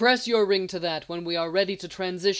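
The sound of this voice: Here the text is read in an unforced reading voice.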